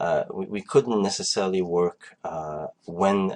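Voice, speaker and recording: A man speaks with a French accent. His pitch is very deep and low. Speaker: online marketing coach. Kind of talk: conference call presentation. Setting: online group call. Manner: halting, many fillers.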